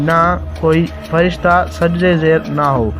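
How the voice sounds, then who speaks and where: Music plays behind a man whose voice has ordinary pitch variation. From Pakistan. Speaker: voice over artist. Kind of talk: religious story narration.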